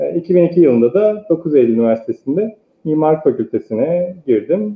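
A man speaks at a moderate pace in a fairly high voice with very wide pitch swings. The room echo is audible. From eastern Turkey (Sarıkamış, Kars). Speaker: architect. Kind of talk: interview. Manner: hesitant, many filler sounds. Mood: calm, reflective. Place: home room. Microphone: earbuds.

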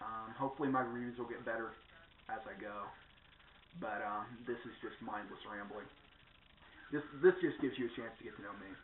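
Audible room echo and light background noise surround a voice that moves at a fairly quick pace, with big swings in loudness and long, frequent pauses. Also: man. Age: 20s. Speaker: vlogger. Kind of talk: casual vlog monologue. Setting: at home in front of a camera. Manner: rambling, full of fillers. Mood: reflective, a bit wistful. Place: home room. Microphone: webcam.

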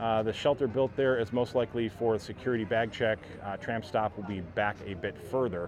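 A man with an American accent speaks at a moderate pace in a medium pitch. The sound is dry with no echo, over light background noise. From Ohio, US Midwest. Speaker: theme park vlogger; theme park update streamer. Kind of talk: live-stream vlog walkthrough with viewer chat. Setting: outdoors at resort gondola stations. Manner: casual, frequent filler uhs. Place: waterside. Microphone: phone near.

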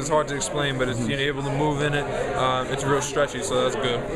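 Someone talks at a moderate pace over loud background noise. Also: man. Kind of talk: interview answer. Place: studio.

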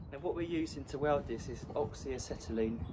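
Through noticeable background noise, a man's speech moves at a fairly quick pace. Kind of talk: tutorial. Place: street. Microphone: camera far.

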